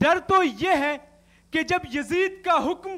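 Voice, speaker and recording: Projecting his voice, a man speaks at an extremely high pitch with ordinary variation and a bright, sharp tone. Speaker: university student debater. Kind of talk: declamation speech. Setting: TV studio stage. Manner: impassioned, oratorical.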